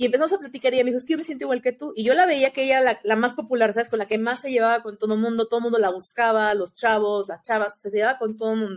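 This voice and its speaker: The speech races at a very fast pace with hardly any pauses, in a Mexican accent. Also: woman, fairly high pitch for a woman, ordinary pitch variation, very clean recording, silent background. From Mexico. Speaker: former exchange student. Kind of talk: casual chat.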